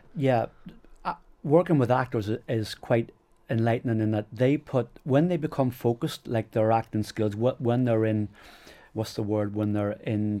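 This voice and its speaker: Over a silent background in a very clean recording, a man with a Northern Irish accent speaks at a medium pitch and a moderate pace, his dark, mellow tone carrying ordinary pitch variation. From Northern Ireland. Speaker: strength and conditioning coach. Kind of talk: podcast interview. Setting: in-person recording in Belfast.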